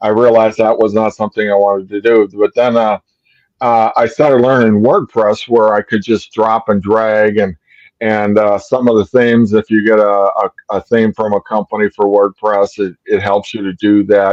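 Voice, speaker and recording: A man's fairly low voice at a moderate pace, with flat, monotone intonation. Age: 70s. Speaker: graphic designer and web designer. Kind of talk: interview about mental health. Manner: halting, many fillers.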